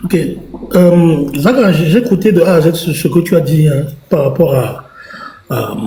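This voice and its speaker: A man's high voice at a fairly slow pace, with ordinary pitch variation and long, frequent pauses, amid noticeable background noise and audible room echo. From Togo. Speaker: political commentator. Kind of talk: live stream debate.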